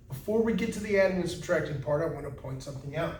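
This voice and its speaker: Audible room echo carries a man's voice as his intonation stays lively. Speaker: math teacher. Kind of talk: lecture.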